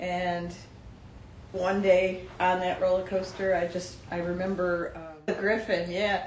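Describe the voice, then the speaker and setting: In a room with audible echo and noticeable background noise, a woman speaks at a fairly slow pace with flat, monotone intonation. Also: medium pitch for a woman. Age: 60s. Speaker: vlogger. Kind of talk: personal vlog monologue.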